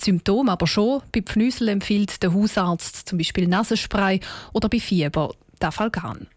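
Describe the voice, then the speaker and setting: A woman at a medium pitch with ordinary pitch variation, a moderate pace and very even loudness, an ordinary speaking voice, on a very clean recording with a silent background. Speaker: radio news presenter. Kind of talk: news reading. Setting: studio.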